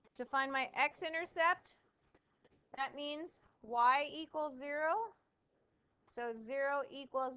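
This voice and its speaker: A woman with a high pitch, bright and sharp in tone, projects her raised voice at a very slow pace, with ordinary pitch variation and long, frequent pauses. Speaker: math teacher. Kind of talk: classroom lecture.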